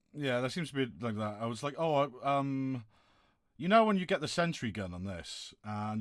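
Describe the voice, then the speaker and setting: A man with a West Country accent talks at a very fast pace with lively intonation, in a very clean recording with a silent background. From southwest England, Plymouth. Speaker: gaming streamer. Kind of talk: casual chat.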